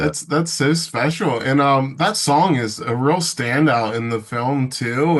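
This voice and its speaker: A man's medium-pitched voice at a very slow pace, ordinary pitch variation, noticeable background noise. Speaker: interviewer. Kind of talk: interview question.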